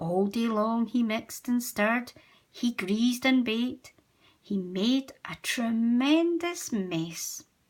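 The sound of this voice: The recording holds an unforced reading voice. Pitch rises and falls in an ordinary way.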